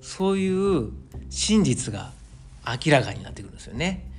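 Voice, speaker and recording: A man speaks with audible room echo. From Osaka, Japan. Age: 40s. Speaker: podcast host, amateur runner. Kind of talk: solo casual monologue.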